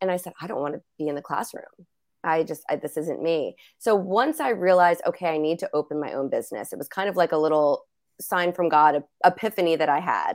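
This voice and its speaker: With an American accent, a woman in an unremarkable speaking voice talks at a fairly quick pace, her pitch fairly low and its variation ordinary. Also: very clean recording, silent background. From US, New Jersey. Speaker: business owner and coach. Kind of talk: casual interview chat.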